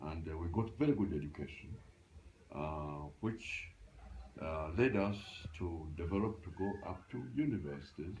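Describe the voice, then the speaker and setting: A somewhat breathy man's voice, very deep and low, with lively intonation, long and frequent pauses, and audible room echo. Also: moderate pace. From Uganda. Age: 80s+. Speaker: retired librarian. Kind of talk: interview. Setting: at home. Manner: halting.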